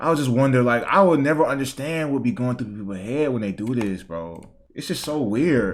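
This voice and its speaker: The man's voice sits at a medium pitch, with lively intonation and a fairly quick pace. Room echo is audible. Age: 20s. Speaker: YouTube reaction streamer. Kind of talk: casual reaction commentary.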